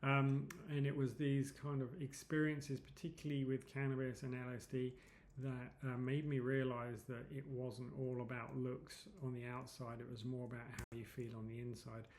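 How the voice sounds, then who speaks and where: Audible room echo surrounds speech that moves at a moderate pace with monotone, flat intonation. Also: man, medium pitch for a man. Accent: English. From England, London. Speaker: psychedelics advocate and presenter. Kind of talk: presentation. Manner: hesitant, many fillers.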